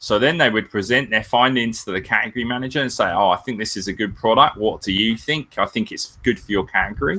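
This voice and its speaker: At a very fast pace with hardly any pauses, a man with a British accent speaks at medium pitch in a bright, sharp tone with ordinary pitch variation. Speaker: Amazon seller and business consultant. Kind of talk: webinar interview. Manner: casual, filler-heavy.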